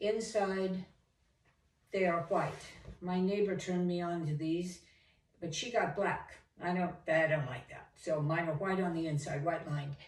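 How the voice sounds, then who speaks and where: Amid audible room echo, a woman with a fairly low, somewhat breathy voice speaks at a moderate pace, leaving long, frequent pauses. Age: 70s. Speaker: home decor DIY vlogger. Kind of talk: tutorial. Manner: casual, conversational.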